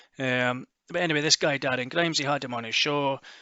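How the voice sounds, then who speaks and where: A man talks at a fairly quick pace with a Scottish accent. His intonation stays fairly even. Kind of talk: casual news commentary to camera.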